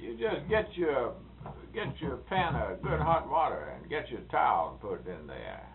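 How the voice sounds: With vocal fry and big pitch swings, a man speaks at a moderate pace amid audible room echo. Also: medium pitch for a man.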